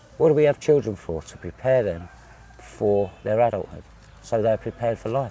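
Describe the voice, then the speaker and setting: A man speaks with a southern English accent at a medium pitch. The sound is dry, with no echo. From southern England. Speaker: visiting Englishman interviewed; interviewee. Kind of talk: interview. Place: garden. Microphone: lapel.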